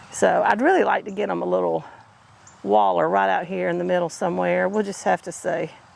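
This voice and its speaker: Speech moves at a moderate pace. Noticeable background noise is present. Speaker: homesteading vlogger. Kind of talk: casual vlog narration. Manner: chatty, informal.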